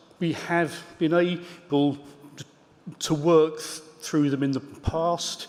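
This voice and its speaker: Over noticeable background noise, a man talks at a very slow pace with fairly even intonation. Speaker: synod member. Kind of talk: formal meeting question. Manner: halting, repeated syllables.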